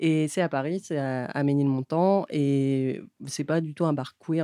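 A woman's very deep, low voice with fairly even intonation against a quiet background. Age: 30s. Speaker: radio co-host. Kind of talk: casual radio chat. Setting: radio studio.

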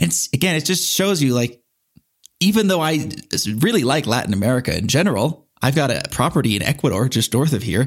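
A man at a fairly quick pace, with very wide pitch swings and very even loudness. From US, San Diego. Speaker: podcast guest, expat traveler. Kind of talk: interview conversation. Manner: animated.

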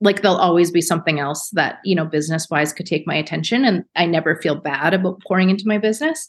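Against a quiet background, a woman speaks very fast at a fairly low pitch. She uses ordinary pitch variation and hardly any pauses. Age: 30s. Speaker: beauty business founder. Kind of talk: casual chat.

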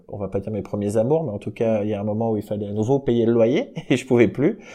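Against a quiet background, a man with a fairly low pitch and a dark, mellow tone speaks with ordinary pitch variation. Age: 40s. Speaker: music industry program director. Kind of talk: interview. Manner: casual, hesitant with fillers.

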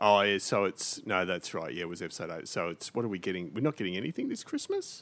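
A man speaks very fast with hardly any pauses in a very deep, low voice with ordinary pitch variation, on a very clean recording with a silent background. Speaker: podcast host. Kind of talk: casual banter about video games. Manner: teasing, jokey.

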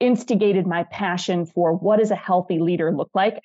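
A woman talks in a medium pitch with an American accent and ordinary pitch variation. She has a plain, everyday voice. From US Midwest, northern Wisconsin. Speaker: leadership coach and author. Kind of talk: interview conversation.

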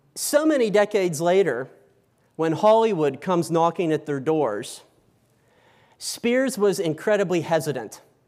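On a very clean recording with a silent background, a man with an unremarkable speaking voice uses lively intonation. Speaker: historian lecturer. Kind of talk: lecture. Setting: stage with audience.

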